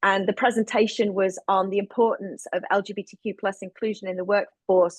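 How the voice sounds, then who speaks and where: A woman's medium-pitched voice with a British accent, at a fairly quick pace, with a dry, close sound, no echo and a quiet background. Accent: still sounds very British. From United Kingdom. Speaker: producer, director and LGBTQ advocate. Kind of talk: interview. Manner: energetic.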